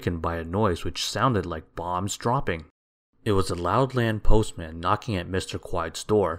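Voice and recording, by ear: This is reading aloud in a natural voice with lively intonation. The background is quiet.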